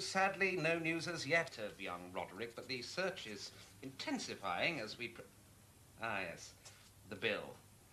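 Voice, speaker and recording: A man's speech shows very wide pitch swings over light background noise. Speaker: actor playing a detective on the phone. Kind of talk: scripted drama dialogue, one side of a phone call. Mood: genial, evasive, smooth. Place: office.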